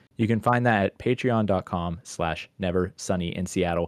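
A man's fairly low, ordinary speaking voice, an ordinary speaking voice with ordinary pitch variation, dry and close with no echo against a quiet background. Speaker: podcast host. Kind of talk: casual chat.

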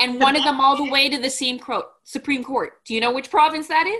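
A woman speaks at a high pitch in a raised, projected voice. Her tone is bright and sharp. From Montreal, Canada. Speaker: podcast host. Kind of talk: casual interview.

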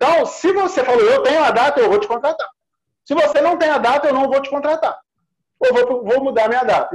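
A man with an extremely high pitch speaks at a fairly quick pace, his intonation lively and his loudness very even. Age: 40s. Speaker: lawyer. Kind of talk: interview, legal explanation.

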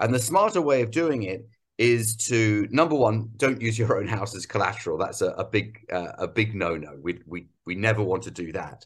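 The speech has lively intonation, a moderate pace and a somewhat breathy quality. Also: man. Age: 50s. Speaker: entrepreneur. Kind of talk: interview. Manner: halting.

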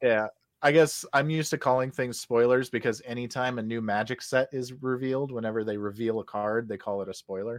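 In an unremarkable speaking voice, the speaker goes at a fairly quick pace with fairly even intonation against a quiet background. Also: man, medium pitch for a man. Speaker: podcast co-host. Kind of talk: casual chat.

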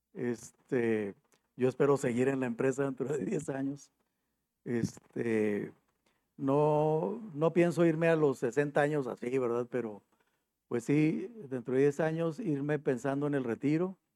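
Speaking at a very slow pace, a man uses a fairly high pitch and a dark, mellow tone with ordinary pitch variation. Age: 50s. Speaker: HR manager. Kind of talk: interview.

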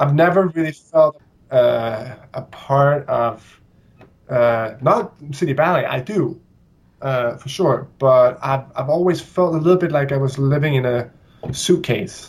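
A man with a Danish accent speaks at a fairly slow pace in a fairly high, somewhat breathy voice with ordinary pitch variation. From Denmark, Copenhagen. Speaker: ballet dancer. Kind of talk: interview.

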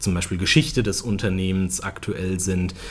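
A man's somewhat breathy, very deep, low voice. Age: 30s. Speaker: automotive press spokesperson. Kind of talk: casual interview.

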